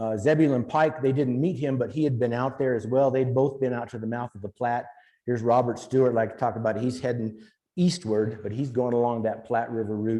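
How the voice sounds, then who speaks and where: Here a man speaks at a medium pitch with fairly even intonation. His tone is dark and mellow. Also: fairly quick pace. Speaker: historian giving a talk. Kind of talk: lecture. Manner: fast.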